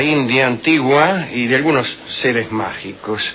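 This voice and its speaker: A man with an Argentine accent at a fairly slow pace, against noticeable background noise. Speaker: radio host. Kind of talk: humorous radio monologue. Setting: radio studio.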